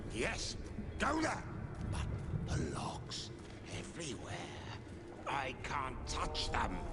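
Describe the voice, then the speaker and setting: A man speaks at a very slow pace in a put-on character voice with a medium pitch, over loud background noise. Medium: game stream. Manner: terse, clipped phrases.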